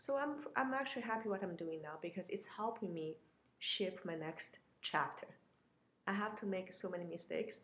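This is a woman with an ordinary speaking voice at medium pitch. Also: lively intonation, moderate pace. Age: 30s. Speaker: entrepreneur and business mentor. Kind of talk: interview.

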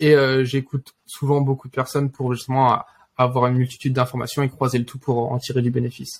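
A man talks at a fairly quick pace with a medium pitch. His voice is somewhat breathy, and his intonation is monotone and flat. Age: 20s. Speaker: engineering student and trader. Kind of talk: interview.

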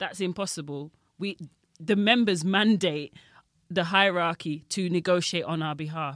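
Someone with a London accent speaks at a moderate pace in a very clean recording with a silent background. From Jamaica and London. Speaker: railway union rep and Tube worker. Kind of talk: casual interview chat. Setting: studio.

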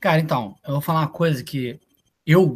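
Somewhat breathy and fairly high for a man, his voice keeps a moderate pace and fairly even intonation. The sound is dry and close with no echo. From Brazil, Niterói (Rio de Janeiro state). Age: 20s. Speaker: college soccer player. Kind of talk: casual interview. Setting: live video stream.

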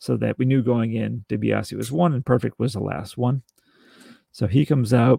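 A man with vocal fry and a dark, mellow tone talks at a medium pitch and moderate pace, with ordinary pitch variation and a dry, close sound with no echo. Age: 40s. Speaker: wrestling podcast co-host. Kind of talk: casual chat.

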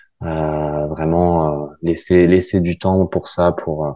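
In a very deep, low voice, a man speaks very slowly with monotone, flat intonation. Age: 20s. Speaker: physiotherapist. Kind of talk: interview. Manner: halting, many fillers and repetitions.

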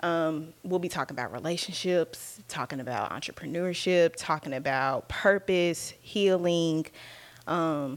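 A woman with an unremarkable speaking voice talks at a fairly slow pace and a fairly low pitch, with ordinary pitch variation, in a very clean recording with a silent background. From Texas, Dallas. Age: 20s. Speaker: podcast host, wellness advocate. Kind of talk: casual monologue.

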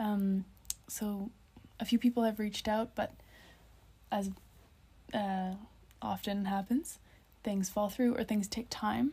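Pausing long and often, a woman with a Canadian accent speaks in a somewhat breathy, medium-pitched voice with fairly even intonation. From Nova Scotia, Canada. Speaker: dancer. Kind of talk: casual chat. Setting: hostel bunk bed.

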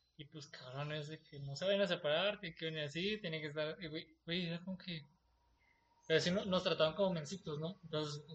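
This man has an unremarkable speaking voice, fairly high in pitch, with fairly even intonation, a fairly quick pace and big swings in loudness. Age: 20s. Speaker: podcast host. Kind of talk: casual chat.

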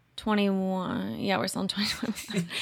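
Recorded very cleanly against a silent background, a woman with an American accent has a bright, sharp tone. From US Midwest, rural Indiana and Kentucky. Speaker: sports podcast host and writer. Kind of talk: casual chat.

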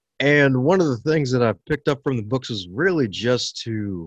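A man with an American accent speaks with lively intonation, his voice dry and close with no echo against a quiet background. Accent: slight Southern tinge over Baltimore. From Baltimore, US. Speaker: motivational teacher and author. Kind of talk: interview. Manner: upbeat, animated, laughs often.

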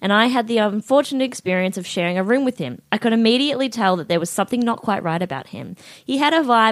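Here, a person is reading aloud in a natural voice.

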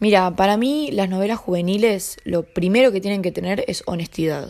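A woman speaks with a Rioplatense accent at a moderate pace. Her medium-pitched voice has a dark, mellow tone and ordinary pitch variation. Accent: Argentine Spanish (rioplatense). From Argentina. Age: 20s. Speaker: young novelist and actress. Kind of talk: interview. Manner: hesitant, with repetitions.

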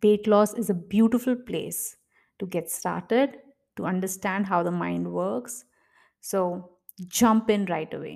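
A woman with an Indian accent speaks at a fairly slow pace and medium pitch. Her pitch varies in an ordinary way, and the recording is very clean with a silent background. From India, Mumbai. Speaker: podcast host, gynecologist and life coach. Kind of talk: casual solo monologue.

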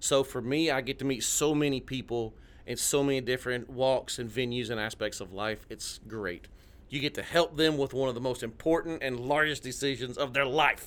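Moderate pace from a man with a Tennessee accent, medium pitch and ordinary pitch variation. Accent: Tennessee accent, noticeable. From Southeast Tennessee, near Chattanooga. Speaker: realtor, former Navy. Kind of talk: casual radio interview.

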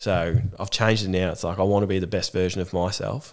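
A man with an Australian accent speaks at a fairly quick pace in a very deep, low voice, with fairly even intonation on a very clean recording against a silent background. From Australia, Gippsland, Victoria. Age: 20s. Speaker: mental health program facilitator and army veteran. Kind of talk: casual interview.

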